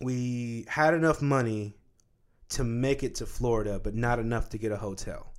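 This is an ordinary speaking voice: a man of medium pitch talking at a moderate pace. The recording is very clean, with a silent background. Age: 20s. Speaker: podcast host. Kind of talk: casual chat.

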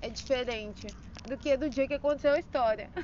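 This woman's voice sits high in pitch, with fairly even intonation. She talks at a moderate pace. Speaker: personal audio diarist. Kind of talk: personal storytelling monologue. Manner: frequent laughter; halting.

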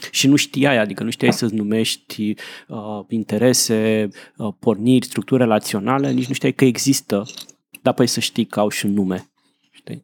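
In an unremarkable speaking voice, a man talks at a moderate pace with a medium pitch and fairly even intonation. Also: dry, close sound with no echo. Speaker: podcast host. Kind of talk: casual chat.

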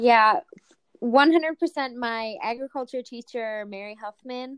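An unremarkable speaking voice with an American accent goes at a fairly slow pace with ordinary pitch variation, the sound dry and close with no echo. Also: woman. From rural US. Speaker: agriculture education student. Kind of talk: casual interview.

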